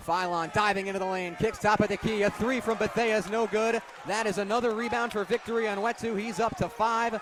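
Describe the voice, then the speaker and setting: Energetic in tone, the speaker moves at a fairly quick pace with hardly any pauses over noticeable background noise. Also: man, high pitch for a man. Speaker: sports broadcaster. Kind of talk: radio basketball play-by-play. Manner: fast, energetic.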